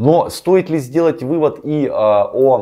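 Against a quiet background, a man's dark, mellow tone comes through. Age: 30s. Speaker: relationship blogger and coach; psychology blogger. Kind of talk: video commentary on a viewer's story. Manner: rambling, filler-heavy speech. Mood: casual, slightly ironic. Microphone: lapel.

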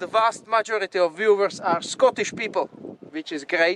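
A high-pitched male voice over noticeable background noise. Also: dry sound with no echo. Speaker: outdoor vlogger. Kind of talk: casual vlog chat. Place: beach. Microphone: phone near.

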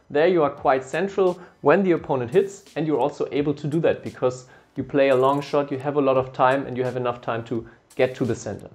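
A man at a fairly quick pace, his pitch varying in an ordinary way. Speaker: badminton coach. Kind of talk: tutorial. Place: studio. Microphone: lapel.

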